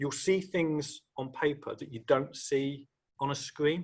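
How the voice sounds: A man speaks at a fairly slow pace, his pitch fairly high and his intonation fairly even. His tone is fairly bright with a slightly husky edge.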